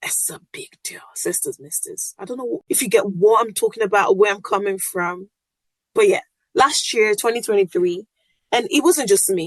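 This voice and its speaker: An animated woman with a Yoruba accent, fairly high pitch and very wide pitch swings at a moderate pace, in a dry, close sound with no echo. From Nigeria (Yoruba). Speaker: podcast host. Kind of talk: casual monologue.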